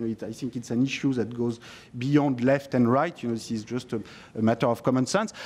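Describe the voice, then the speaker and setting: A man is speaking. He talks with a French accent. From France. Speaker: economist and author. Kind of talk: parliamentary committee discussion. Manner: hesitant, many fillers.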